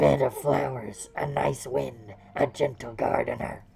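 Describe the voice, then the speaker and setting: A put-on character voice sits at a low-to-middle pitch. It moves along at a fairly slow pace. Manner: sweet and kind.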